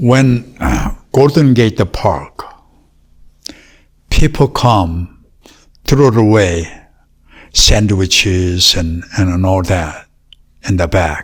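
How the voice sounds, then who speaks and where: A man with a Korean accent speaks at a very slow pace, with long, frequent pauses. His fairly low, somewhat breathy voice carries lively intonation. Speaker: martial arts master. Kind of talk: interview.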